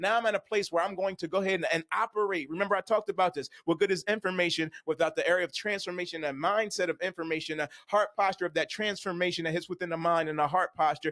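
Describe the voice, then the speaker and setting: Speaking at a very fast pace with hardly any pauses, a man uses a high-pitched, bright, sharp and animated tone in a dry, close sound with no echo. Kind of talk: motivational faith-based teaching monologue.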